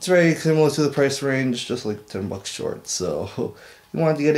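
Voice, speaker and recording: Ordinary pitch variation from a man at a fairly quick pace. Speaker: vlogger. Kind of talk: casual vlog chat. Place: home room. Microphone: webcam.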